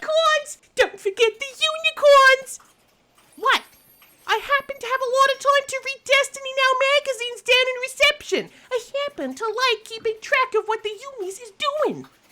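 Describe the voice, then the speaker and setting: A squeaky put-on character voice reaches an extremely high pitch at a moderate pace. Long, frequent pauses break it up. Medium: audio drama. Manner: excitable, breathless.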